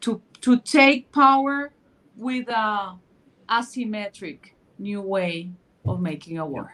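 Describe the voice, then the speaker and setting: In a Spanish accent, a woman speaks at a very slow pace with a bright, sharp tone, fairly high pitch, and lively intonation. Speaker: panel speaker. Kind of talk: panel discussion. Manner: halting.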